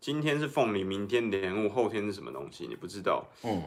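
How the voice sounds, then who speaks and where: A man with vocal fry speaks at a fairly quick pace with very wide pitch swings. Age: middle-aged. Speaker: political commentator. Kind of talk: casual chat. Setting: livestream.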